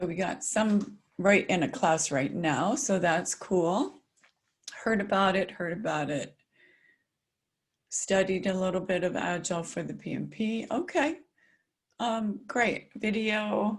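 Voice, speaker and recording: With an American accent and a medium pitch, a woman speaks fairly slowly with lively intonation, vocal fry and long, frequent pauses. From US South, South Carolina. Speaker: agile consultant, keynote speaker. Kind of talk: webinar presentation. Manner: articulate.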